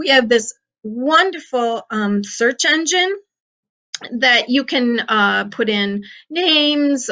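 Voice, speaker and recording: A woman with an American accent speaks very slowly in a high pitch, with lively intonation and a bright, sharp tone. Her loudness swings widely, and the background is quiet. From Western New York (Geneseo, Livingston County); Western New York. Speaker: county historian; guest. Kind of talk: interview; interview answer. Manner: hesitant, many fillers. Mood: friendly, informative. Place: office. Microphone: video call.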